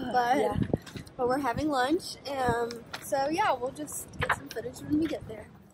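The dry sound has no echo, set against loud background noise. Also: woman, moderate pace. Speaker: travel vlogger. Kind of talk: casual vlog chat. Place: street. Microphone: phone near.

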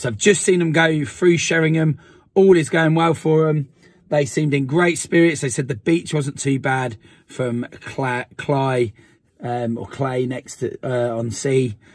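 A man speaks at a fairly slow pace with ordinary pitch variation. The sound is dry with no echo, and the background is quiet. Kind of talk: casual vlog chat. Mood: upbeat, friendly. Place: car.

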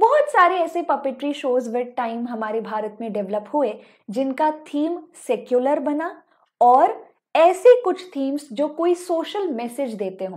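Against a quiet background, a woman speaks very slowly in a high pitch with very wide pitch swings. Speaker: online educator. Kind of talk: lecture.

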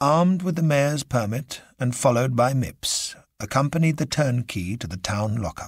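Someone reads aloud using an unforced reading voice.

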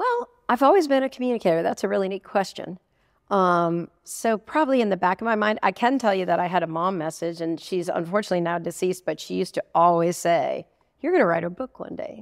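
Speaking with an American accent, a woman talks at a very fast pace and a medium pitch. The background is quiet. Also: lively intonation. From Buffalo, New York (Williamsville suburb); New York. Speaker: public relations consultant and author. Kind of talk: casual interview chat. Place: studio. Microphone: lapel.

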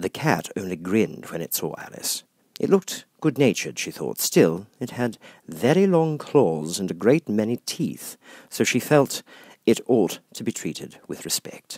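A man's fairly low voice with a slightly husky edge and a slightly mellow tone, big pitch swings, and a fairly slow pace.

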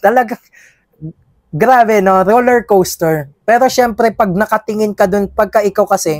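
In a dry recording with no echo and a quiet background, a man with a high-pitched voice talks at a moderate pace with ordinary pitch variation. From Philippines. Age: 20s. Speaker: finance content creator and student; finance content creator. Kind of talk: vlog self-reflection. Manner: casual, filler-heavy. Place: studio. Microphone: lapel.

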